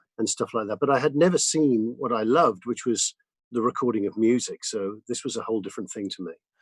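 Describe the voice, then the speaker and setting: Over a quiet background, a man at medium pitch talks at a very fast pace with ordinary pitch variation and a dry, close sound with no echo. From England, Newcastle then London. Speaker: record producer and mix engineer. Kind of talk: interview conversation. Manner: halting, many fillers.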